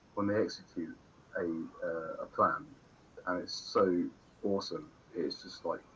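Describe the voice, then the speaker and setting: A man with an English accent at a moderate pace, with long, frequent pauses and noticeable background noise. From England. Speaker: gamer streamer. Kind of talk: casual chat. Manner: halting.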